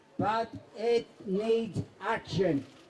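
A man is speaking. Background noise is noticeable behind him. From East End of London. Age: 80s+. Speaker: anti-fascist veteran and former communist councillor. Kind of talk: political rally speech. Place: stage.

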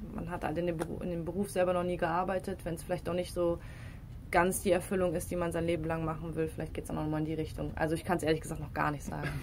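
A woman speaks very fast in a fairly low pitch. Her intonation is flat and monotone, with vocal fry. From Rhineland, Düren (western Germany). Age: 20s. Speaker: professional football player. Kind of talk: casual interview.

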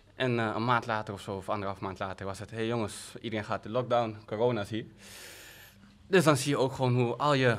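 Intonation stays fairly even as a man talks at a fairly quick pace. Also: long, frequent pauses. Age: 20s. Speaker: podcast host, new father. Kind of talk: casual chat. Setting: studio. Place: studio. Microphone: studio mic.

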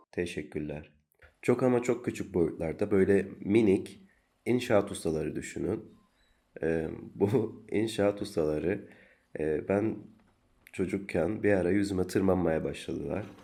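Calm and fairly slow, a man with a fairly low pitch and a dark, mellow tone speaks with ordinary pitch variation and long, frequent pauses. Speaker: solo podcaster. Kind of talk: personal monologue.

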